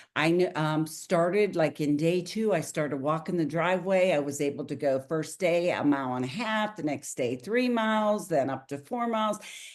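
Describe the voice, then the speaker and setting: With a plain, everyday voice, a woman speaks at a moderate pace and fairly low pitch, with hardly any pauses. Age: 60s. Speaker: network marketing distributor. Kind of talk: testimony.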